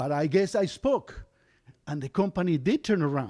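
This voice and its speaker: Dry, close sound with no echo, a Spanish accent, and a moderate pace. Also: man. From Argentina. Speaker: storyteller. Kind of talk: live storytelling.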